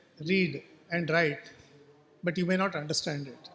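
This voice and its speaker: With a Goan accent, a man talks at a moderate pace in a high pitch with fairly even intonation. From coastal Karnataka, India, near Karwar. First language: Konkani. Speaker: writer. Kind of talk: literary festival talk.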